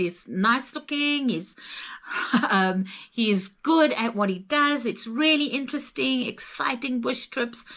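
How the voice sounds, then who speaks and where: Speaking with a Zimbabwean accent, a woman has a fairly high pitch and lively intonation. Her pace is fairly slow. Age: 60s. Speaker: travel vlogger. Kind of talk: casual chat.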